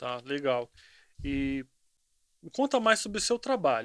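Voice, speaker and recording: A man speaks with very wide pitch swings. The recording is very clean, dry and close, with a silent background and no echo. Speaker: podcast host. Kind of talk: interview conversation.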